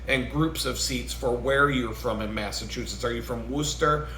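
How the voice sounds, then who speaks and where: A man with an American accent is heard over noticeable background noise with audible room echo. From New York State. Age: 40s. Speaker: vlogger. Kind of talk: casual rant.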